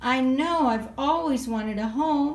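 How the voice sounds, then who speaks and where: A put-on character voice from a woman, fairly slow and high-pitched. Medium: read story. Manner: gentle, wondering.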